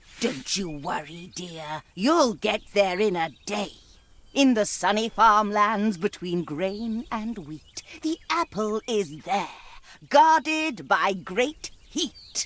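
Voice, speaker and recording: A put-on character voice with fairly high pitch moves along at a very slow pace. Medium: video game. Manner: speaks in rhyme, sweetly coaxing.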